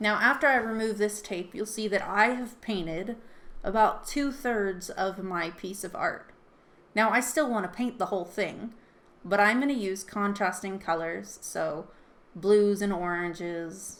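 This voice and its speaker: A woman talks at a medium pitch with ordinary pitch variation, in an unremarkable speaking voice. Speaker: artist teaching an art challenge. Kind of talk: tutorial. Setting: home.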